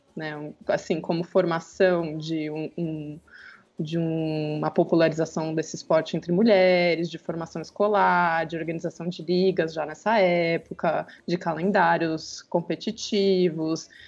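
A woman's fairly low voice in a monotone, flat intonation. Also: fairly slow pace. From Brazil, Campinas (São Paulo state). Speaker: historian and researcher. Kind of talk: podcast interview.

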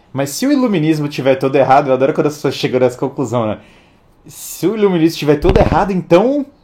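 With noticeable background noise behind him, a man talks very fast in an animated tone, his pitch swinging very widely. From Brazil. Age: 30s. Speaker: livestream host. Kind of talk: livestream monologue.

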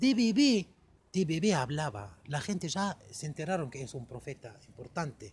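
Someone with an Arabic accent speaks at a fairly slow pace with very wide pitch swings. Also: man, fairly high pitch for a man. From Egypt, Cairo. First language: Arabic (speaking Spanish). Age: 40s. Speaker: podcast guest. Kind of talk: casual chat.

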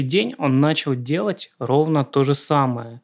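Using a plain, everyday voice, a man talks fairly slowly with ordinary pitch variation. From Southern Russia. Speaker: screenwriter, podcast co-host. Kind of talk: casual chat.

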